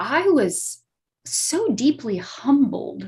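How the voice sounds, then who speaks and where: A woman speaks in a somewhat breathy voice with very wide pitch swings. The recording is very clean, with a silent background. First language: not English. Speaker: astrologer. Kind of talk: talk show explanation.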